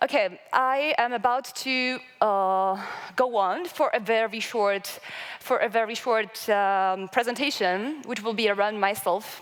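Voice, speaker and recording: Recorded very cleanly against a silent background, a woman with a Georgian accent speaks at a fairly high pitch. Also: ordinary pitch variation, fairly slow pace. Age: 20s. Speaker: local development association member. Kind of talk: conference presentation. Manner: halting, many fillers.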